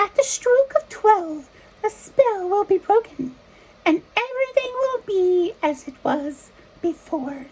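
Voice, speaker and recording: In a put-on character voice, a woman squeaks at an extremely high pitch with very wide pitch swings. She speaks at a fairly slow pace. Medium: read story.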